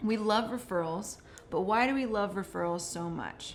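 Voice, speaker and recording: A woman talks at a fairly slow pace with a Californian accent and ordinary pitch variation. The room has audible echo. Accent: General American (Californian). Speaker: marketing manager, webinar co-host. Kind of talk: webinar presentation.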